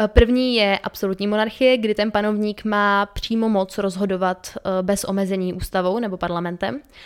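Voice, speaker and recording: A medium-pitched woman speaking with fairly even intonation. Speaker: podcast co-host. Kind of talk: casual educational chat. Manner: fast.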